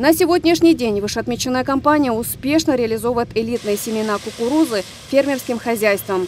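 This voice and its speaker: A woman talks fairly fast at a high pitch, with noticeable background noise behind her. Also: ordinary pitch variation. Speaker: TV news reporter. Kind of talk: scripted news voiceover. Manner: formal.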